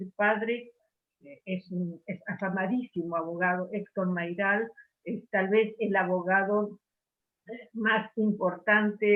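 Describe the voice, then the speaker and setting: A woman talks very slowly at a medium pitch. Her intonation stays fairly even. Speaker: book club member. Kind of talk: book club discussion. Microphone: unstable internet connection.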